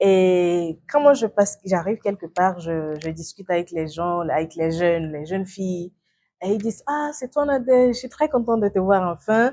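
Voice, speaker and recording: This woman has a dark, mellow tone at a medium pitch, with lively intonation. She talks at a moderate pace on a very clean recording with a silent background. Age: 20s. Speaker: youth activist. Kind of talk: interview. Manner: halting.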